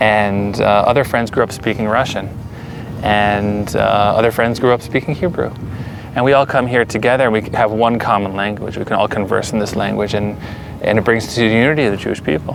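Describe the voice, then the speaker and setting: A man in an American accent with a fairly low pitch, ordinary pitch variation, a fairly quick pace and noticeable background noise. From US, Pennsylvania (Allentown). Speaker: settler interviewee. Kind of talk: interview. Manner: halting.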